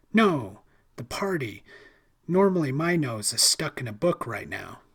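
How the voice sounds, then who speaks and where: A man puts on a raspy character voice with very wide pitch swings. He keeps a moderate pace. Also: fairly high pitch for a man. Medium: read story. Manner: awkward, giggly.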